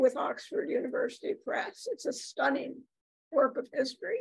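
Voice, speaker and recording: A woman at a moderate pace over a quiet background. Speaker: university professor emerita introducing speaker. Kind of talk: formal introduction. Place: meeting room. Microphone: podium.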